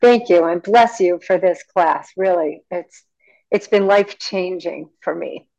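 Very slowly, a woman with a medium pitch speaks in a dark, mellow tone with fairly even intonation. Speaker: class participant. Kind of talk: discussion question. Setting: video call.

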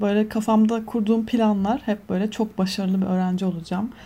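Her voice is somewhat breathy with a dark, mellow tone, as a woman speaks at a medium pitch in a monotone, flat way. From Turkey, Antalya. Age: 20s. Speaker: media professional. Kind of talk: casual chat. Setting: video call.

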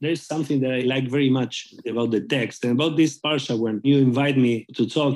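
The speaker has a Spanish accent. Their intonation stays fairly even. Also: man. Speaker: rabbi. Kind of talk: interview. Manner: halting.

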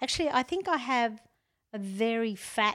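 In an Australian accent, a woman talks at a fairly slow pace on a very clean recording with a silent background. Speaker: gardening expert. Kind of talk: casual chat. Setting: at home.

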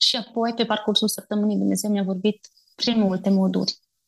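A woman talks with a somewhat breathy voice. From Romania, Bistrița. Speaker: missionary. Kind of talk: interview testimony.

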